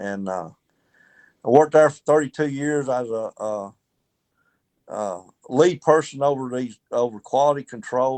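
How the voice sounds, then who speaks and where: A man of medium pitch with a Southern US accent, long, frequent pauses and big swings in loudness, over a quiet background. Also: ordinary pitch variation, moderate pace. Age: 60s. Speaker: retired baseball player. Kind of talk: interview.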